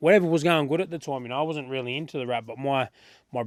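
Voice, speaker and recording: Ordinary pitch variation marks this man's speech in an Australian accent. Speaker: rapper. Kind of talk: interview. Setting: studio.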